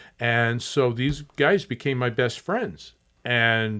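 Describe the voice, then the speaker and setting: In an American accent, the speaker goes at a very slow pace with ordinary pitch variation. The recording is very clean, with a silent background. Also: man. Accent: doesn't sound Southwestern. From Tucson, Arizona. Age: 60s. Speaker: museum executive director. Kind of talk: podcast interview.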